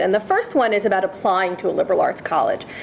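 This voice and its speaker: A woman races along at a very fast pace, her fairly high voice showing ordinary pitch variation against noticeable background noise. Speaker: history professor on a faculty panel. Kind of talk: panel talk. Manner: loud; emphatic. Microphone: speaking without a microphone.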